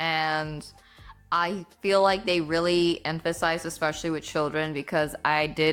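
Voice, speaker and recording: A woman's very deep, low voice with a Spanish accent, fairly slow and monotone with flat intonation, over music in the background. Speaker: book YouTuber. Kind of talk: casual vlog talk. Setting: home, at her desktop. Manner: casual, filler-heavy.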